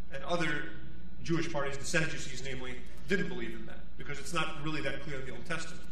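A man talks at a very fast pace with very even loudness and fairly even intonation. Audible room echo and light background noise are present. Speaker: priest. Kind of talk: sermon. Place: church. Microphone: podium.

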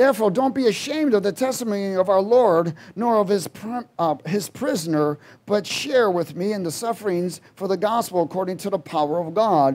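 A man's voice at a moderate pace, with lively intonation. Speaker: preacher. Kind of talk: sermon. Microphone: headset.

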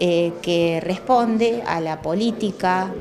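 A woman speaks with a fairly low pitch and ordinary pitch variation. Noticeable background noise sits behind her. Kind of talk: interview answer. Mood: calm, informative. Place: office.

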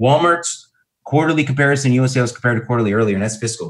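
A man speaks in an energetic, somewhat breathy tone. Audible room echo surrounds him over a quiet background. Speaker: marketing speaker. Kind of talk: webinar presentation. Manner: fast-talking, energetic. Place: home room. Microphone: webcam.

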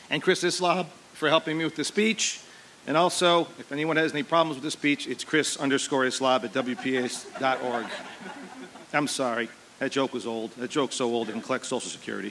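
A man's fairly high voice at a fairly quick pace, with ordinary pitch variation over noticeable background noise. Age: 40s. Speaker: teacher and football coach. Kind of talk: commencement speech. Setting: outdoor graduation ceremony with audience. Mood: humorous, self-deprecating. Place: stage. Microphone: podium.

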